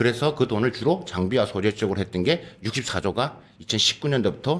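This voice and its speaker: A man at a medium pitch, lively intonation, a fairly quick pace and very even loudness. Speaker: professor. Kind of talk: panel discussion. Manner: fast.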